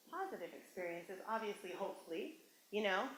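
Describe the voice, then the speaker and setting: There is audible room echo as a woman speaks. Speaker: motivational speaker. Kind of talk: workshop talk. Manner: fast; animated.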